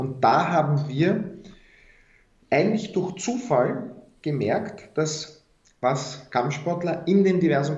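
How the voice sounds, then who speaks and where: A man with a Viennese accent, somewhat breathy and very slow, with audible room echo. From Austria, Vienna. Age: young. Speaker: founder of a deradicalisation initiative. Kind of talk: interview.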